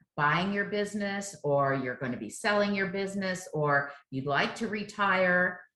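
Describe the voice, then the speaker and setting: Audible room echo surrounds a woman's voice. She speaks at a fairly slow pace with ordinary pitch variation. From South Florida. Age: 60s. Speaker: chef and business owner. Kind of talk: interview.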